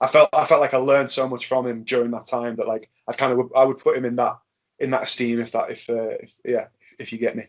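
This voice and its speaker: Big swings in loudness mark a man's speech, delivered at a very fast pace. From Birkenhead, near Liverpool, England. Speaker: pro wrestler. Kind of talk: casual chat. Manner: halting, many repetitions and fillers.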